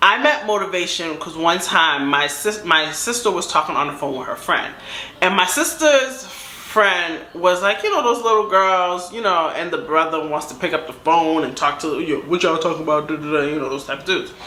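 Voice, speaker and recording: Speaking at a fairly quick pace with hardly any pauses, a woman with an American accent uses lively intonation, with noticeable background noise and audible room echo. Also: fairly low pitch for a woman. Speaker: storytime YouTuber. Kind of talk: casual storytelling. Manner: animated.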